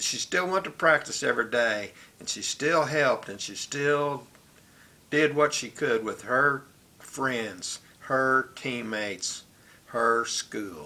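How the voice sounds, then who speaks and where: A man speaks with an American accent at a very slow pace. His pitch is medium, with ordinary variation. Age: 70s. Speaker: vlogger. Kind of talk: personal monologue. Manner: reflective, conversational.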